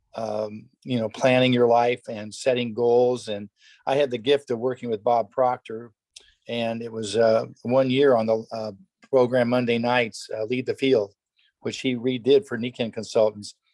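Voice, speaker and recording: A man speaks at a moderate pace and a medium pitch, in a monotone, flat intonation. The sound is dry and close, with no echo. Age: 70s. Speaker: network marketing distributor, tennis pro. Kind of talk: testimony on a company conference call.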